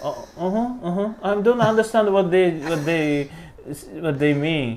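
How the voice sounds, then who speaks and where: A man's high-pitched voice with lively intonation at a fairly slow pace, with music in the background. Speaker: music professor and opera singer. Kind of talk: casual interview. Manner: halting.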